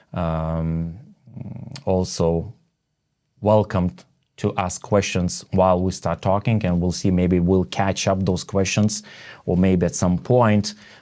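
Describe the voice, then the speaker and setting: In a very clean recording with a silent background, a man with a Lithuanian accent speaks very slowly in a very deep, low voice with a dark, mellow tone, fairly even intonation and long, frequent pauses. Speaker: network marketing entrepreneur and podcast host. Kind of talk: casual interview chat. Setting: home studio. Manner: halting, many fillers and restarts.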